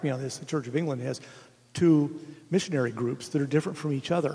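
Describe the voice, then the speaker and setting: This voice has a dark, mellow tone and is somewhat breathy. It speaks with an American accent and ordinary pitch variation. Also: man. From Oregon. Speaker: retired bishop. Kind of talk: panel discussion.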